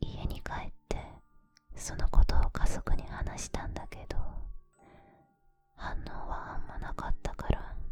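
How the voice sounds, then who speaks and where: A woman whispers at a fairly slow pace. Music plays in the background. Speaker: ASMR creator. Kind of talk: whispered scary story reading. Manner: whispered, soft, close to the ear.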